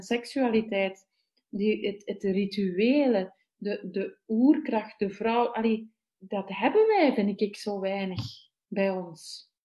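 This speaker has a Flemish accent and a somewhat breathy voice. The pace is very slow, with ordinary pitch variation. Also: woman. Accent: Flemish Dutch. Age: 40s. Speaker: festival participant. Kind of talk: casual chat. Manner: halting.

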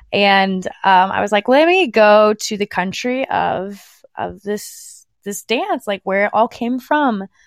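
Recorded very clean with a silent background and a dry, close sound with no echo, a woman with an American accent speaks at a very slow pace, medium pitch, and ordinary pitch variation. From United States. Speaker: dance fitness instructor. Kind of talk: casual interview chat.

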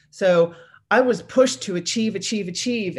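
Lively intonation and a fairly quick pace mark this unremarkable speaking voice. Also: woman. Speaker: mindset coach and retired navy executive. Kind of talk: interview.

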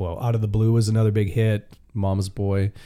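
Speaking at a moderate pace with a western Canadian accent, a man has a medium pitch and a dark, mellow tone. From Canada, Vancouver area (B.C.). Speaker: country singer. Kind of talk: casual interview. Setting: private room in a steakhouse.

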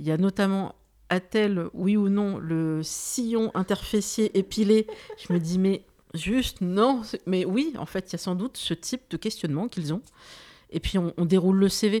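A woman speaks at a fairly slow pace in a dark, mellow tone with ordinary pitch variation. The sound is dry and close, with no echo. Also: medium pitch for a woman. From France, Algerian heritage. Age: 40s. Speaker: podcast host. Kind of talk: interview.

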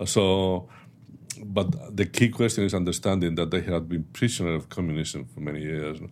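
Speaking in a Spanish accent at a moderate pace, a man with a very deep, low pitch shows ordinary pitch variation and big swings in loudness. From Spain. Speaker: strategic analyst, former national security advisor. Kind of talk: interview. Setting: studio.

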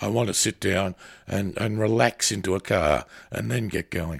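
In a very clean recording with a silent background and a dry, close sound with no echo, a man with an Australian accent talks at a fairly slow pace, his fairly low voice showing vocal fry and fairly even intonation. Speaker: radio host. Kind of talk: radio magazine program, interview.

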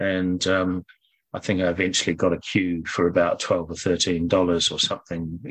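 With a New Zealand accent, a man speaks in a very deep, low pitch. His intonation is monotone and flat, and his pace is moderate. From New Zealand, Auckland North Shore. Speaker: former professional snooker player. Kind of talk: interview.

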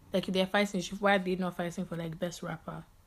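Flat, monotone intonation runs through this somewhat breathy voice. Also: woman. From England, London. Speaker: podcast co-host. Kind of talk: casual chat.

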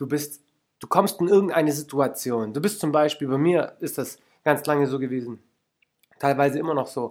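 A man speaks in an animated tone at a fairly high pitch. The recording is very clean, with a silent background. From Lake Constance area, southern Germany. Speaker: podcast host and life coach. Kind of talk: motivational monologue.

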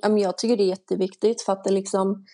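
A woman with a medium pitch and a dark, mellow tone speaks in a monotone, flat intonation. The sound is dry and close with no echo. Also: quiet background. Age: 20s. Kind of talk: casual interview.

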